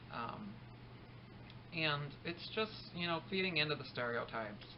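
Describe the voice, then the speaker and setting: A man's voice with ordinary pitch variation and noticeable background noise. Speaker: vlogger, teacher. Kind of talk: casual vlog monologue. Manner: fast; hesitant, many ums.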